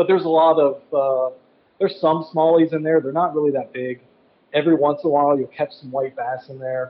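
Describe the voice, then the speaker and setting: A man with a plain, everyday voice, pitched fairly high for a man, speaking at a fairly quick pace. His intonation stays fairly even while his loudness swings widely. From US Midwest. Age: 40s. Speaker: traveling angler and fly tier. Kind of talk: casual chat. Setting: phone call.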